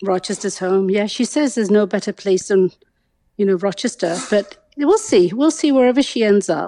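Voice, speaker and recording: Woman with an English accent, dark and mellow at medium pitch, lively intonation, moderate pace and very even loudness. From England. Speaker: guest's mother. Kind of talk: casual chat.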